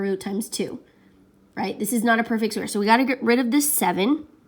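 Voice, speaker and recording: The recording is very clean, its background silent. It carries a plain, everyday voice with ordinary pitch variation. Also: woman. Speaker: math teacher. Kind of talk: tutorial.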